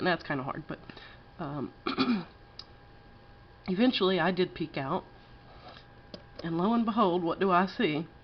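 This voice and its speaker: A woman with a slight Texas accent speaks with lively intonation. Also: long, frequent pauses. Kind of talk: casual campfire story told to camera.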